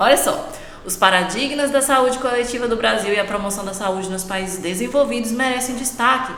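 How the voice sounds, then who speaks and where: Talking at a fairly quick pace, a woman with a fairly high pitch and ordinary pitch variation is heard over noticeable background noise and audible room echo. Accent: São Paulo interior. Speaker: dentistry exam prep teacher. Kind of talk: exam review lecture. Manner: casual, conversational.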